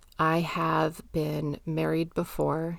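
A woman heard in a very clean recording with a silent background. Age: 30s. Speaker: podcast host and mental health therapist. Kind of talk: solo podcast monologue.

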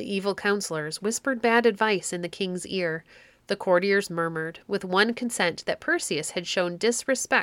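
The speaker reads in a natural voice whose pitch varies in an ordinary way.

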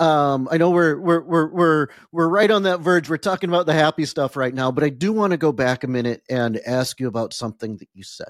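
A man's normal speaking voice, fairly high in pitch and fairly quick, with lively intonation, hardly any pauses and big swings in loudness, in a dry, close sound with no echo. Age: 40s. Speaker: podcast host. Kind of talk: casual interview.

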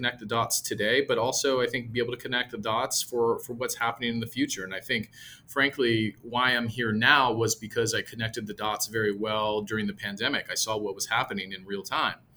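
In an American accent, a man speaks at a fairly quick pace with a medium pitch, a bright, sharp tone, and fairly even intonation. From US West Coast, San Jose, California. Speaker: property management executive. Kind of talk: interview conversation.

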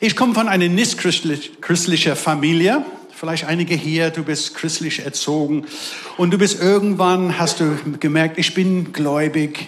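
Amid noticeable background noise and audible room echo, a man with a high pitch speaks with fairly even intonation. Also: fairly slow pace. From England. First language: English (speaking German). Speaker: pastor. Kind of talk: sermon. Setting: church service with live audience.

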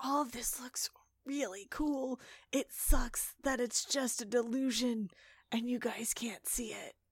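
A female-sounding put-on character voice, high-pitched and fairly slow. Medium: actual play. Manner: whispering to camera.

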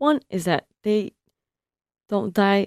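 A woman's dark, mellow voice at medium pitch, with an American accent, in a dry, close sound with no echo. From California. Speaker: PhD student researcher. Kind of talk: interview. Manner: halting, many restarts and fillers.

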